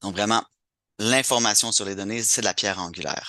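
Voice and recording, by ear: Fairly quick and fairly low-pitched, a man speaks in a bright, sharp tone. His pitch variation is ordinary.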